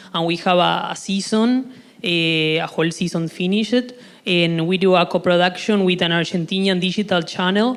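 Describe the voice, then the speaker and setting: Talking at a fairly slow speed, a woman lets her pitch vary in an ordinary way. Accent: Uruguayan. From Uruguay. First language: Spanish. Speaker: audience member, web series creator. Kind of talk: audience question. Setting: conference stage with audience. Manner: halting.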